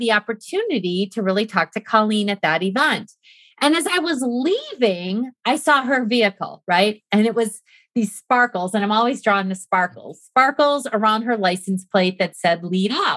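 In a very clean recording with a silent background and a dry, close sound with no echo, a woman with a plain, everyday voice talks at a moderate pace in a fairly high pitch. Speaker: podcast guest. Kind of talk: casual chat.

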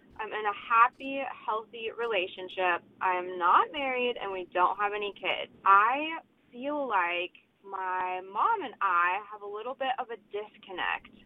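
A woman's unremarkable speaking voice, fairly high in pitch and fairly slow, with big swings in loudness. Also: ordinary pitch variation. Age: 20s. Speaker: voicemail caller. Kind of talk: voicemail question.

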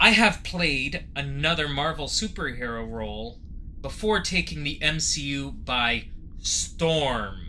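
Noticeable background noise fills the recording. Over it, a man talks very slowly. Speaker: podcast co-host. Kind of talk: casual chat.

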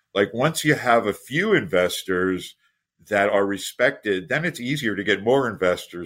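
With a normal speaking voice at a medium pitch, a man talks at a moderate pace with lively intonation in a very clean recording with a silent background. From United States. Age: 60s. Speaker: startup investor and mentor. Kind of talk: interview.

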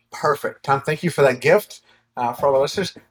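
A man's voice sits fairly high in pitch and sounds somewhat breathy. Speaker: podcast host and coach. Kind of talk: podcast interview. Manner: warm, upbeat.

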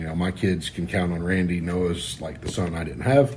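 A man's very deep, low-pitched voice, somewhat breathy. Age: 40s. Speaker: racing crew member. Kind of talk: casual chat. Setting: condo.

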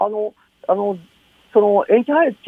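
A man is speaking. His voice sits high in pitch. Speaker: virologist. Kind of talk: phone interview. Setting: phone call.

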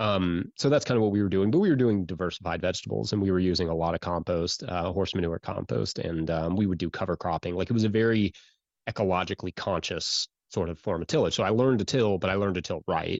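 At a very fast pace, a man with an American accent talks at a very deep, low pitch with ordinary pitch variation. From central Kentucky. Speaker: farmer. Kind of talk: casual chat. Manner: hesitant, many fillers.

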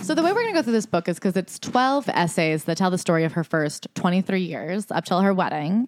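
A woman in a normal speaking voice at medium pitch talks at a fairly quick pace with very even loudness and hardly any pauses, in a dry, close sound with no echo. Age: 20s. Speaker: podcast host. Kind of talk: casual chat.

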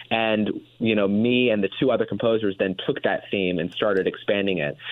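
With a plain, everyday voice, a man talks at a fairly quick pace and a fairly low pitch, with ordinary pitch variation. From Indiana. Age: 20s. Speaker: filmmaker and composer. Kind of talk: radio interview.

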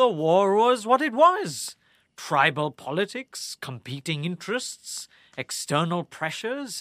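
In a very slow, theatrical delivery, a man with a high pitch and a bright, sharp tone makes very wide pitch swings, recorded dry and close with no echo and very clean, with a silent background. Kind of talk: dramatic audio-drama narration, played as a cocky prisoner. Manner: sardonic, theatrical, taunting, wry.

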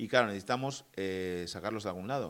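Very fast delivery with lively intonation. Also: man. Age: 40s. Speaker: podcast co-host. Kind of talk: casual political chat.

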